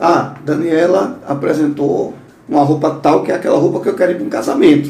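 Fairly quick speech from a man, plus audible room echo and noticeable background noise. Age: 50s. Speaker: podcast host. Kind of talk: interview.

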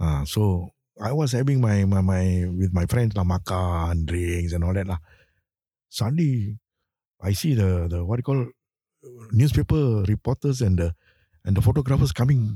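A man with a Singaporean accent speaks at a moderate pace in a fairly low, dark, mellow voice that is somewhat breathy, with lively intonation and long, frequent pauses, the sound dry and close with no echo in a very clean recording with a silent background. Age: 70s. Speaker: retired football coach. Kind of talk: interview. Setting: studio.

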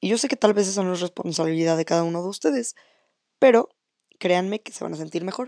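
Against a quiet background, a woman talks at a fairly quick pace in a fairly low, dark, mellow voice with ordinary pitch variation and a dry, close sound with no echo. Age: 20s. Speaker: communication student and flag football player. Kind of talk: solo podcast monologue. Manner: casual, conversational.

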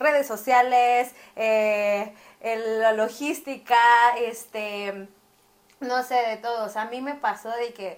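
A woman speaks with a high pitch. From Mexico City. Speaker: eyelash artist and beauty academy owner. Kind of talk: casual chat. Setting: recording while live streaming on TikTok.

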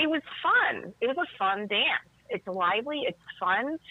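A woman with an American accent talks at a fairly slow pace, her pitch swinging very widely. Noticeable background noise runs underneath. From Chicago South Side. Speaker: tango dancer and teacher. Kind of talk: casual chat.

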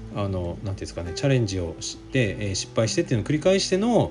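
With music in the background, a man talks at a very fast pace with very wide pitch swings. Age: 40s. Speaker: physical therapist podcaster. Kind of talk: solo radio-style talk. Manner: casual, many fillers.

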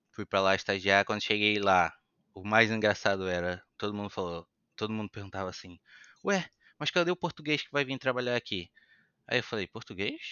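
Using long, frequent pauses, a man of fairly low pitch speaks at a fairly quick pace with ordinary pitch variation. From Brazil, Itaboraí, Rio de Janeiro state. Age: 30s. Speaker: chef. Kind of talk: casual chat. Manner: talkative.

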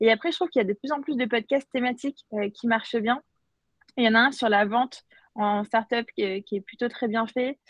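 A woman with an unremarkable speaking voice talks at a fairly quick pace and a fairly high pitch. The sound is dry and close with no echo, over a quiet background. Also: ordinary pitch variation. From France and Algeria (Paris and Algiers). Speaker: startup founder and CEO. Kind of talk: interview.

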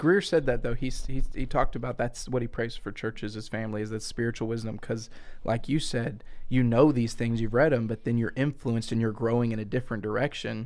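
A man with a Southern US accent, medium pitch and fairly even intonation, at a very fast pace

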